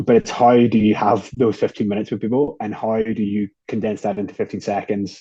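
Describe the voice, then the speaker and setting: Against a quiet background, a man with an Irish accent talks fairly quickly in a fairly low pitch with a dark, mellow tone. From Ireland. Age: 20s. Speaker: beer company co-founder. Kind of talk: interview conversation.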